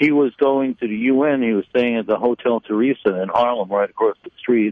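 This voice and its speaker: A man speaks with a New York accent at a moderate pace. His pitch is medium with ordinary variation. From Brooklyn, New York. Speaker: retired cigar retailer. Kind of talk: interview.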